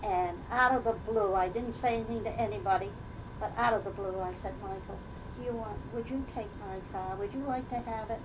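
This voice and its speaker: A woman with a Rhode Island accent talks at a fairly quick pace and medium pitch with ordinary pitch variation, amid noticeable background noise and audible room echo. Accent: Rhode Island New England. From Rhode Island, Newport. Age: 80s+. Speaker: oral history interviewee. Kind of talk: casual chat.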